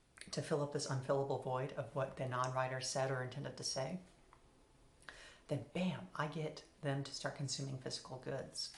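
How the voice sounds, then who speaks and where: In a room with audible echo, a woman with a very deep, low pitch speaks in a somewhat breathy voice at a moderate pace, her intonation flat and monotone. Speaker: philosophy video essayist. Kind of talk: solo philosophical talk. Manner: halting, with repetitions and fillers.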